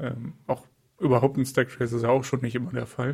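A man talks at a fairly quick pace in a medium pitch, somewhat breathy. His intonation is monotone and flat. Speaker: software developer podcast co-host. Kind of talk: casual tech chat.

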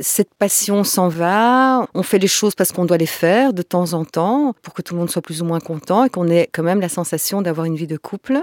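A woman speaks in a plain, everyday voice, fairly low in pitch, with ordinary pitch variation. The recording is very clean and silent behind her, with a dry, close sound and no echo. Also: moderate pace, hardly any pauses. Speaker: tantra masseuse and workshop facilitator. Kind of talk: interview conversation.

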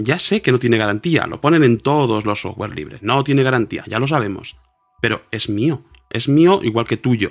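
With music in the background, a man speaks at medium pitch and a moderate pace using lively intonation. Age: 40s. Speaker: cathedral organist and music teacher. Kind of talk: casual interview. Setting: video call.

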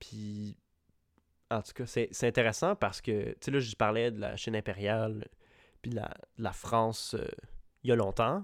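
In a Quebec accent, a man at medium pitch talks at a fairly slow pace with long, frequent pauses, fairly even intonation and big swings in loudness, on a very clean recording with a silent background. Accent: Québécois French. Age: 20s. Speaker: podcast co-host. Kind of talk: casual chat.

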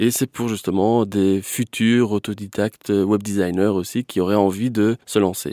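A man speaks at a moderate pace in a fairly low voice with a dark, mellow tone and fairly even intonation. The recording is very clean, with a silent background and a dry, close sound with no echo. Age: 30s. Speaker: web designer. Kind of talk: interview. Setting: studio.

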